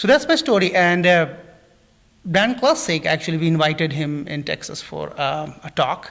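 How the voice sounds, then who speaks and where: A man with an Indian accent, high-pitched, at a moderate pace and with lively intonation. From India, New Delhi. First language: not English. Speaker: plant scientist. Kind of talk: interview. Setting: live stream studio. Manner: halting, many fillers.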